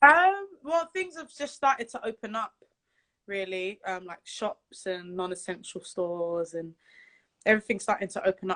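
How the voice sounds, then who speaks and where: With a British accent, a woman speaks at a moderate pace and medium pitch, using ordinary pitch variation against a quiet background. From London, England (Jamaican family). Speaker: singer. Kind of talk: interview. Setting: Instagram live video call.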